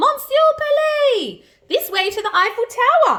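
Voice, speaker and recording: Putting on a character voice, a woman speaks at a moderate pace in an extremely high, squeaky, warm tone with very wide pitch swings. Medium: read story. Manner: warm, patient.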